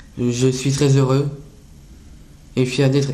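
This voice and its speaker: Audible room echo surrounds a man's dark, mellow voice at a medium pitch. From northern France, near Dunkirk. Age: 20s. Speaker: self-advocate with Down syndrome. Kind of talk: prepared public speech. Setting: international conference. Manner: halting, some repetitions.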